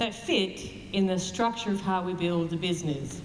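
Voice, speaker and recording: Audible room echo plus noticeable background noise. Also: woman. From Canada. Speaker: network marketing distributor. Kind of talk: motivational speech.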